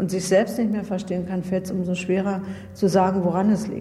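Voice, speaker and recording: At a fairly quick pace, a woman talks in a medium pitch, with noticeable background noise and audible room echo. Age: 40s. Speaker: former judge. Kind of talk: interview. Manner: halting.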